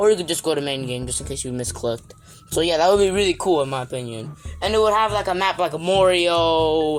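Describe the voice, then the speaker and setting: Speech comes at a very fast pace against noticeable background noise. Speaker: gaming YouTuber. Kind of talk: casual gaming commentary. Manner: halting, many fillers.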